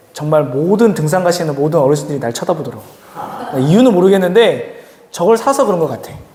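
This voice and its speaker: With noticeable background noise and audible room echo, a man with a high-pitched voice talks at a fairly quick pace, his intonation lively and his tone animated. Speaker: youth pastor. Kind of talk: sermon; casual announcements to youth. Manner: fast.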